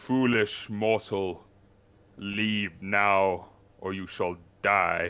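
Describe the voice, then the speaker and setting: Booming man in a put-on character voice, with a very slow pace, long, frequent pauses and monotone, flat intonation. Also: fairly low pitch for a man. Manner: menacing, threatening.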